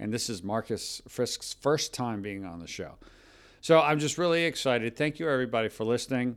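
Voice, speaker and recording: A man with a plain, everyday voice talks at a fairly quick pace and a medium pitch. His intonation is lively, and his loudness swings a lot. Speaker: podcast host. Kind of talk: podcast interview with sponsor reads.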